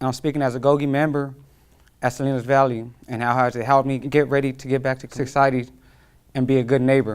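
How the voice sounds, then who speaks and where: Speaking very fast with an American accent, a man keeps a medium pitch and monotone, flat intonation. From California, Fresno. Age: 20s. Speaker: incarcerated program member. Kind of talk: testimony. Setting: prison.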